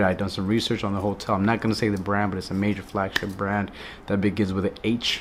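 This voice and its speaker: A man speaks very fast in a fairly low, flat monotone. Noticeable background noise sits under his voice. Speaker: travel vlogger. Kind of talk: casual talk to camera.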